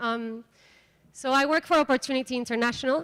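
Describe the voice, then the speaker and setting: High-pitched and bright, sharp in tone, a woman speaks with a Mexican accent and ordinary pitch variation. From Mexico. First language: Spanish. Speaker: microfinance program coordinator. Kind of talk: conference workshop presentation.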